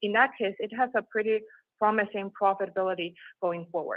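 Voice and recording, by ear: At a fairly quick pace, the speaker uses ordinary pitch variation in a dry, close sound with no echo. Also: woman, medium pitch for a woman.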